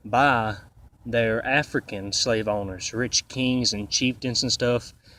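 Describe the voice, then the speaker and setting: A man speaks at a very slow pace with a Southern US accent. His pitch is medium and his intonation fairly even. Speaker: YouTuber. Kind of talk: casual talk to camera. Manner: halting.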